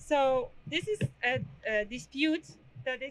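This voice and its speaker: A woman with a Polish accent raises and projects her high-pitched voice, the tone bright and sharp. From Poland. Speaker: protest organizer; speaker. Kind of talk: protest speech. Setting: outdoor rally. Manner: halting. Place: street.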